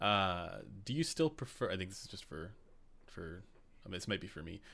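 At a moderate pace, a man speaks with a very deep, low pitch and a bright, sharp tone on a very clean recording with a silent background. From Canada. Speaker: livestream host. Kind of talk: casual live stream interview. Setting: live stream.

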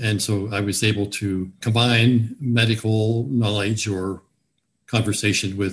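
A man's fairly low, somewhat breathy voice with fairly even intonation. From Virginia, US South (Newport News). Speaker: retired physician. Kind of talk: interview. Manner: halting.

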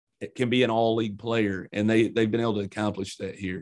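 Very fast, monotone speech with flat intonation, in an Eastern Kentucky accent. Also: man. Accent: Eastern Kentucky country. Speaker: college basketball head coach. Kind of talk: interview.

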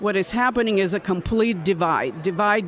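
There is noticeable background noise. A woman speaks at a moderate pace with ordinary pitch variation. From Ukraine, Odessa. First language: Russian or Ukrainian. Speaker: congressional candidate. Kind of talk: radio interview. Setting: political conference.

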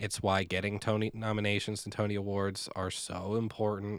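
A man's fairly low, monotone, flat delivery at a moderate pace, in a very clean recording with a silent background. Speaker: podcast co-host and stage actor. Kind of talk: casual chat.

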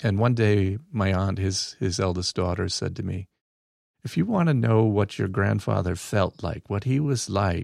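A man with a plain, everyday voice speaks at a moderate pace with ordinary pitch variation, the sound dry and close with no echo on a very clean recording with a silent background. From US Midwest, Battle Creek, Michigan; Mexican-American family. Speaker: religious studies teacher. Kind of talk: casual interview. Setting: studio.

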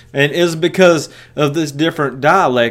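Talking at a fairly slow pace, a man speaks with a strong Tennessee accent. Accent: strong rural Southern (Tennessee). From US South, West Tennessee. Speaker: preacher and podcast host. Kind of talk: Bible teaching. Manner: halting, many fillers and repeats.

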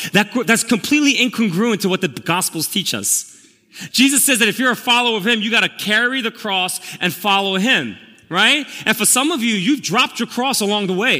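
Raised and projected, a man's high-pitched voice with an American accent moves at a fairly quick pace with ordinary pitch variation. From Korea, then Queens, New York. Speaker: pastor. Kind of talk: sermon. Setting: church service with congregation.

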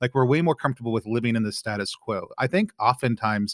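Here is a man with an ordinary speaking voice and an American accent. He talks at a medium pitch and a fairly quick pace. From Texas. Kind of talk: casual chat.

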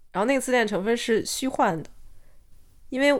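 A woman talking at a very fast pace. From China. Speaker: podcast co-host. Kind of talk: casual chat. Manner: halting, many fillers and restarts.

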